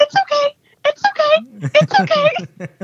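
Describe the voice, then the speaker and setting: The voice is a put-on character. Its sound is squeaky. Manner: soothing, gentle, reassuring.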